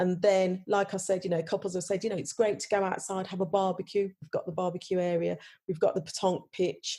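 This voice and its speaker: This woman talks at a very fast pace in a medium pitch with monotone, flat intonation. Her tone is dark and mellow, and somewhat breathy. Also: very clean recording, silent background. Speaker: wedding venue owner. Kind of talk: podcast interview. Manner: many fillers and restarts.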